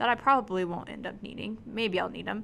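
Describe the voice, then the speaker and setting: Recorded very cleanly against a silent background, a woman speaks in a bright, sharp tone with ordinary pitch variation. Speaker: math teacher. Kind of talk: tutorial. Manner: fast.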